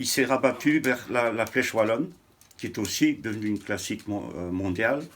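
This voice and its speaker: A man speaks with lively intonation. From Belgium (Huy, Wallonia). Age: 60s. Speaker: interviewee on cycling history. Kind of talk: interview. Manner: hesitant.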